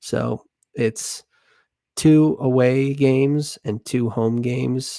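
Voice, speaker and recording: A man with an American accent, his delivery monotone and flat, his pace very slow, his tone dark and mellow. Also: medium pitch for a man, dry, close sound with no echo. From United States. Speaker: football YouTuber. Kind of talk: casual match review.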